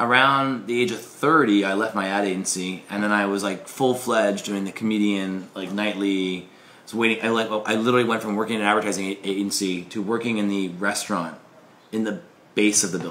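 This man speaks at a fairly quick pace. His pitch sits fairly low. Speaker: interview guest, comedian. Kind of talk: interview answer. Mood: amused, laughing storytelling. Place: home room. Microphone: camera far.

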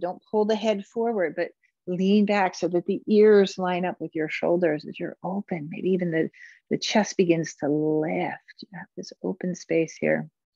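A woman's gentle voice, fairly low in pitch with ordinary pitch variation, at a fairly slow pace, dry with no echo and a quiet background. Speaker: yoga instructor. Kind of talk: guided movement and meditation class. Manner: clear step-by-step cueing, gentle and instructive. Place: home room.

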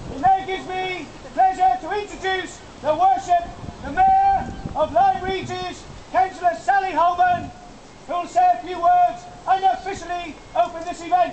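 Noticeable background noise surrounds a man whose extremely high pitch carries monotone, flat intonation. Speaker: town crier. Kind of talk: town crier proclamation. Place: street. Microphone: camera far.

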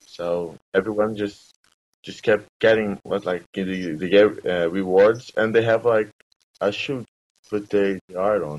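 A man with a fairly low voice speaks at a very slow pace. His intonation stays fairly even against a quiet background. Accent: Portuguese. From Brazil. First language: Portuguese. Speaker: entrepreneur. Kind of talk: interview. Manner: halting. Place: home room. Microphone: webcam.

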